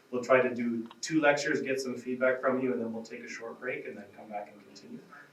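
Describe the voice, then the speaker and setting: A man with a Canadian accent, very fast and monotone in intonation, with big swings in loudness over noticeable background noise. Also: medium pitch for a man. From Canada. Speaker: respiratory therapist, symposium moderator. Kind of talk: conference introduction. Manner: casual, friendly.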